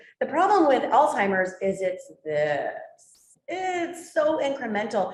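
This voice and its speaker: With very wide pitch swings and audible room echo, a woman speaks at a very slow pace in a high pitch. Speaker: nurse and palliative care leader. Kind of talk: presentation with Q&A.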